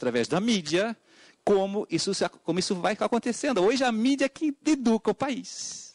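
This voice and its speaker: A man with a Portuguese accent at a fairly quick pace. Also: dry, close sound with no echo, quiet background. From Portugal. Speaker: education speaker at a hearing. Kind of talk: public hearing testimony. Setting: legislative hearing room with wireless mic. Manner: halting, with frequent fillers.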